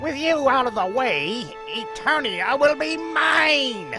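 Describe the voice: Over clear music in the background, a man does a put-on character voice at an extremely high pitch, with big pitch swings and a slow pace.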